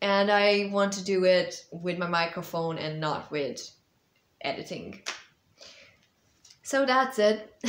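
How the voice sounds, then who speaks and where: Pausing long and often, a woman speaks at a very slow pace with ordinary pitch variation. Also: medium pitch for a woman. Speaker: vlogger and author. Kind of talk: casual update vlog. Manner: hesitant, many fillers. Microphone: small clip-on mic, voice sometimes too quiet.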